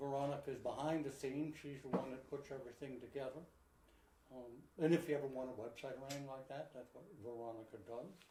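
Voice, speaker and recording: A man at a medium pitch talks at a very fast pace in a dark, mellow, somewhat breathy tone, his intonation fairly even, his loudness swinging widely, with audible room echo around him. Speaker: pigeon supply company host. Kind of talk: live online show, casual. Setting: live video broadcast.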